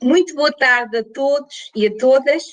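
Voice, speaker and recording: A woman with a bright, sharp tone speaks with ordinary pitch variation in a dry, close sound with no echo. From Portugal. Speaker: professor. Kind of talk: lecture. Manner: slow.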